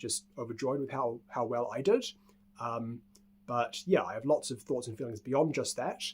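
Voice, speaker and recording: At a moderate pace, a man speaks in a New Zealand accent. His pitch varies in an ordinary way. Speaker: speedcuber. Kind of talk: casual talk to camera.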